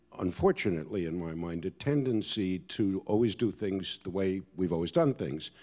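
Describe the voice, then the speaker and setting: A man with a very deep, low pitch speaks in a dark, mellow tone with lively intonation. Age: 60s. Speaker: orchestra executive panelist. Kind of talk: panel discussion.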